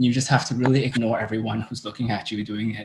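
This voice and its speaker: In a Cantonese accent, a man talks with fairly even intonation. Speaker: drag performer. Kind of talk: interview.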